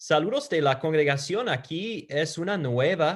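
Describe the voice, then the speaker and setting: A man speaks in a Peruvian accent at a very slow pace. His intonation is lively. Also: very clean recording, silent background. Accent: Peruvian-flavoured Spanish. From United States. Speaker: preacher. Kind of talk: sermon. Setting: virtual church service.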